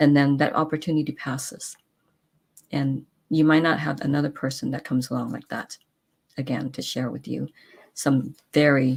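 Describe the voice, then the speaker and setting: A woman's very deep, low voice carries vocal fry and a monotone, flat intonation. She leaves long, frequent pauses. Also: moderate pace. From San Francisco, California. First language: not English. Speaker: talk show host. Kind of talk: casual chat. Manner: halting, many fillers and restarts.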